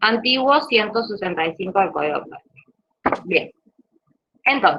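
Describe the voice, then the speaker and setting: A woman is talking. She uses lively intonation. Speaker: law lecturer. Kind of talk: online lecture. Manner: hesitant fillers.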